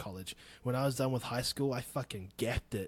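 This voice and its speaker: Very fast speech in a New Zealand accent. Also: man. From New Zealand, Wanganui. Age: 30s. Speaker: podcast host. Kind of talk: casual solo podcast talk.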